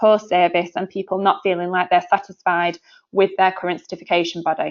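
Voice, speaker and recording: A woman with a Yorkshire accent speaks at a medium pitch. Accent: northern English (Yorkshire). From northern England, Sheffield, Yorkshire. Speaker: sales director. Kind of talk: webinar presentation. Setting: online webinar. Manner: hesitant, many fillers.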